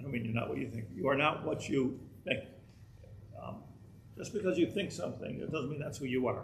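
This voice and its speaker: A man with vocal fry talks at a moderate pace, and the room echo is audible. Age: 60s. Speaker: rabbi teaching a Torah class. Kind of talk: lecture. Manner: halting, many repeated words.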